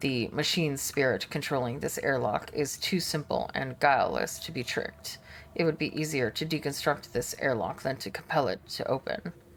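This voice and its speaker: A put-on character voice, raspy and low-to-middle in pitch, moves at a moderate pace. Background noise is clearly audible. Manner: gloomy.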